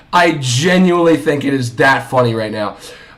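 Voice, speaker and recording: Noticeable background noise and audible room echo are present. Through them, a man talks with lively intonation. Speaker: sports streamer. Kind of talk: live stream reaction. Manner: animated.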